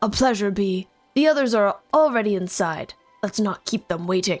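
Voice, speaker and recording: Faint music plays in the background as a woman uses a gruff, put-on character voice at a medium pitch. She moves at a moderate pace with lively intonation. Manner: polite but authoritative.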